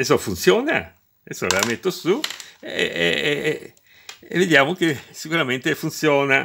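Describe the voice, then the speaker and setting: A man speaks at a fairly slow pace with long, frequent pauses. There is light background noise. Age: 60s. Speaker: retired electrician, DIY video maker. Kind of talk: tutorial; casual tutorial explanation. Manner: halting, repeats words. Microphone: phone near.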